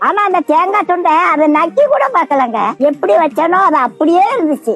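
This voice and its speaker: Against noticeable background noise, a woman with an extremely high pitch speaks in very even loudness and with lively intonation. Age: old. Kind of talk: motivational talk. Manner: casual, homely advice.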